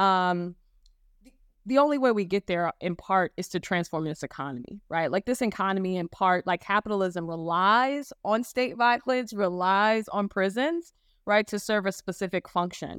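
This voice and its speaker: In a very clean recording with a silent background and a dry, close sound with no echo, a woman with a plain, everyday voice speaks at a medium pitch and moderate pace, with lively intonation and big swings in loudness. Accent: American. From US Midwest (Gary, Indiana). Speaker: law professor. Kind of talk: panel discussion.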